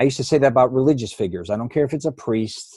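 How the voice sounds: This man speaks fast at a medium pitch, his tone dark and mellow with a slightly husky edge. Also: lively intonation.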